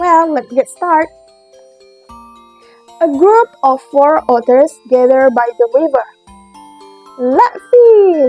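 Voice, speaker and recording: A woman with a high voice and an Indonesian accent speaks very slowly, her pitch swinging very widely, with long, frequent pauses and music playing behind her. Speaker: former kindergarten teacher. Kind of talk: children's story reading.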